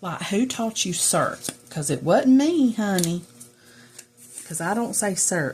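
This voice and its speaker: A woman talks in a Southern US accent. Her voice is somewhat breathy, with lively intonation. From US South. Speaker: journaling crafter, video creator. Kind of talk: casual chat. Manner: rambling, conversational.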